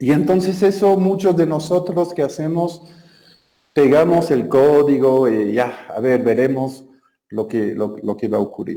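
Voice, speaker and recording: Dark, mellow tone in a French accent, with lively intonation at a fairly slow pace. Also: man. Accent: French-speaking accent in Spanish. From Belgium. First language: French (speaking Spanish). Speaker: software developer, conference speaker. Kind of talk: technical talk. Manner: hesitant, many filler sounds.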